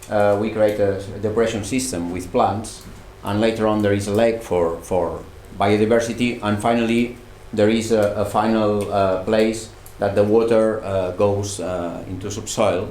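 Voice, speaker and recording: A man's fairly low-pitched, monotone, flat delivery at a moderate pace, with audible room echo. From Catalonia, Spain (Barcelona). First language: Catalan or Spanish. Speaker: student researcher. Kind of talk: presentation. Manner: halting.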